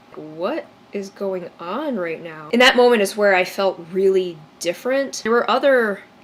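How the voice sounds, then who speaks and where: A woman with an American accent speaks at a moderate pace in a medium pitch. Her intonation is lively, and there is noticeable background noise. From US Midwest, Chicago area. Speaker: YouTuber. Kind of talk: personal storytelling vlog.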